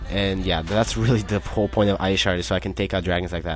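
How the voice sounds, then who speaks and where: A man speaks in a very deep, low voice with music playing in the background. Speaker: gamer narrating battles. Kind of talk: game commentary. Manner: fast; casual, hesitant.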